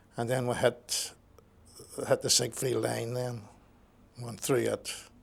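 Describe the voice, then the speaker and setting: A man speaks with a Northern Irish accent at a fairly slow pace. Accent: Northern Irish (Belfast). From Belfast, Northern Ireland. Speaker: war veteran. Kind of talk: oral history interview. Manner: halting, repeats words.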